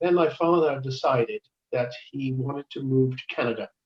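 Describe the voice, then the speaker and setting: A man speaks with a Cardiff accent. His pace is moderate. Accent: Welsh (Cardiff). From Wales, Cardiff. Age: 70s. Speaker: ukulele player and church member. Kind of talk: interview about his life. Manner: halting, many fillers.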